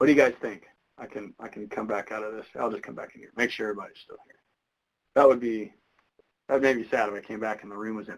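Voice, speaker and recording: Talking at a very fast pace, a man leaves long, frequent pauses, and his loudness swings widely. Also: medium pitch for a man. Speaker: statistics instructor. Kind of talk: lecture.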